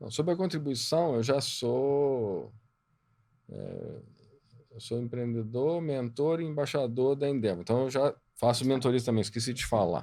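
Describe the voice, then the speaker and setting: Dark, mellow tone from a man at medium pitch, fairly slow in pace, with ordinary pitch variation. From Minas Gerais, Brazil (Juiz de Fora). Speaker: entrepreneur and board mentor. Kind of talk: podcast interview.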